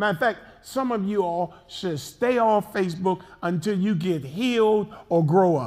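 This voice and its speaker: At a fairly slow pace, a man talks with a high-pitched voice. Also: ordinary pitch variation. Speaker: pastor. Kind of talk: sermon; casual chat. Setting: church. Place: church.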